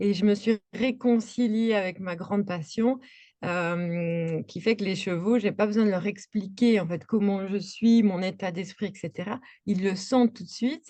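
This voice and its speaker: The tone is dark and mellow, with ordinary pitch variation. The pace is fairly slow over a quiet background. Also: woman, medium pitch for a woman. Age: 40s. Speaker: equine coach and art therapist. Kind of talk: interview. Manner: hesitant, many fillers.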